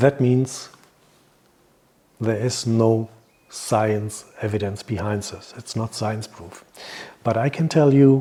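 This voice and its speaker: Very slowly, with long, frequent pauses, a man with a non-native accent speaks in a dark, mellow, somewhat breathy tone and fairly even intonation. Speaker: hypnotherapist and naturopath. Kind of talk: health advice talk. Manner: halting.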